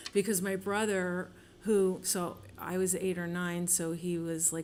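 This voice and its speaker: This woman has a fairly low pitch. She talks at a fairly slow pace. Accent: American. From northern New Jersey, Bloomfield. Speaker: singer-songwriter and guitar teacher. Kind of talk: casual interview. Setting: live stream from a music venue with audience.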